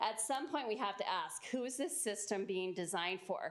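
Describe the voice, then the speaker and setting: An unremarkable speaking voice with ordinary pitch variation. The pace is moderate. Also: woman. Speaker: parent giving public comment. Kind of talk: public comment at school board meeting. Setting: school board meeting.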